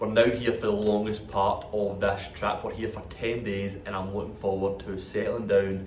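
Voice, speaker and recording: With a Scottish accent, a man speaks at a fairly low pitch and a fairly quick pace in monotone, flat intonation, amid noticeable background noise and audible room echo. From Scotland. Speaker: vlogger in Ironman training. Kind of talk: travel vlog narration. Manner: casual, chatty.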